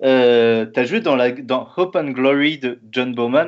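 His medium-pitched voice shows ordinary pitch variation and moves at a very slow pace. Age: 30s. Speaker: podcast host. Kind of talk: interview.

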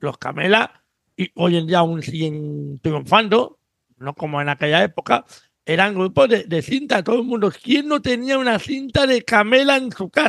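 At a fairly slow pace, a man with a high pitch makes very wide pitch swings in a dry, close sound with no echo. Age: 50s. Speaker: podcast host. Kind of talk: casual chat.

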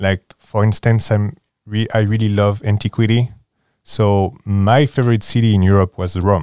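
A man with a French accent speaks at a moderate pace and a fairly low pitch, his tone dark and mellow, his intonation fairly even and his loudness very even, in a dry, close, echo-free recording that is very clean with a silent background. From France, near Paris. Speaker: board game enthusiast guest. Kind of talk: casual interview chat.

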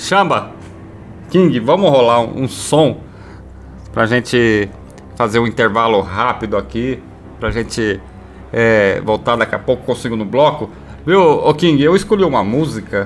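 Over noticeable background noise, a man speaks with lively intonation, broken by long, frequent pauses. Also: medium pitch for a man, moderate pace. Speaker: radio host. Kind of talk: casual chat.

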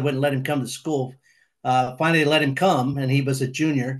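Audible room echo surrounds a man's fairly high, monotone voice with flat intonation and an American accent. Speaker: retired high school football coach. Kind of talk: casual interview.

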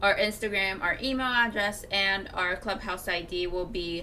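A woman speaks at medium pitch with a Japanese accent. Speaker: podcast co-host. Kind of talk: casual chat; scripted outro.

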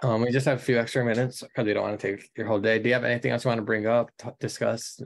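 A man with an American accent delivers his words at a very fast pace in a monotone, flat intonation. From Michigan. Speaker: podcast co-host. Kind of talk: casual interview chat.

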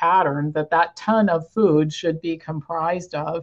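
A woman with a fairly low pitch speaks at a moderate pace in a plain, everyday voice. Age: 60s. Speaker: wellness organization president. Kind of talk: interview.

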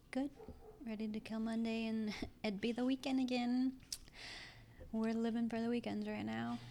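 With monotone, flat intonation and long, frequent pauses, a woman speaks at a moderate pace in a fairly high pitch. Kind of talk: casual chat.

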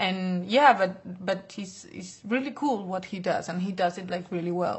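A somewhat breathy woman's voice in a Spanish accent, with ordinary pitch variation at a moderate pace. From Basque Country, Spain (Bilbao). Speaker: fashion model. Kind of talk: interview. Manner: hesitant, filler-heavy.

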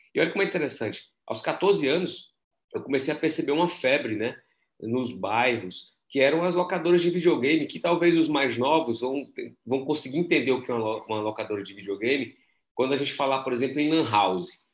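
A man's plain, everyday voice, fairly high in pitch, with lively intonation at a fairly quick pace. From Brazil. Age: 40s. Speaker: entrepreneurship professor and startup mentor. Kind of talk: casual interview.

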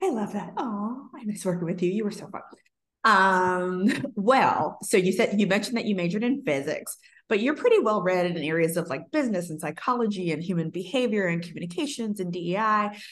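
At a fairly quick pace, a woman talks with a normal speaking voice. Her medium pitch moves with lively intonation. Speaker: podcast host. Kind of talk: casual interview.

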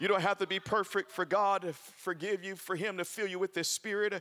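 A man's high voice races along very fast as noticeable background noise fills the recording. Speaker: preacher. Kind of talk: sermon. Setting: church. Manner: animated; loud, call-and-response preaching.

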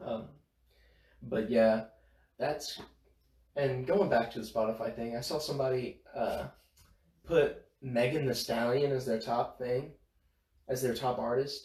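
Somewhat breathy and medium in pitch, a man speaks at a fairly slow pace with fairly even intonation and long, frequent pauses. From northern Louisiana, Bossier City. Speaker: college student podcast co-host. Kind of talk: casual chat.

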